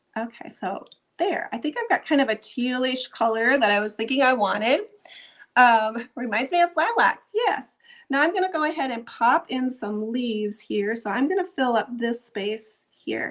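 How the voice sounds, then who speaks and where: A woman talks in a high pitch with a Minnesotan accent. Her intonation is lively and her pace moderate. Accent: Minnesota. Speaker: art instructor. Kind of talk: tutorial. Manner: casual, chatty.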